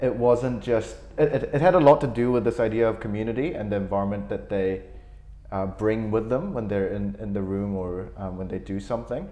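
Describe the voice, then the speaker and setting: Fairly low in pitch, a man with an ordinary speaking voice talks at a fairly quick pace with ordinary pitch variation. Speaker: podcast host. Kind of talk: casual interview chat. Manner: conversational, filler-heavy.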